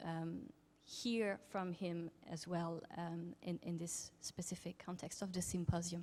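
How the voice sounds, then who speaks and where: With a French accent, a woman speaks in a fairly low, monotone voice with flat intonation. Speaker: academic researcher in Chinese film studies. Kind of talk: conference talk. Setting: symposium with audience and interpreters. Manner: halting with many fillers.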